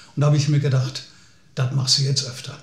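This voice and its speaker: Audible room echo is heard around a man speaking. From Lower Rhine region, Germany; Germany. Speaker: folk singer-songwriter. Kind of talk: personal storytelling. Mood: calm, reflective storytelling. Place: home room.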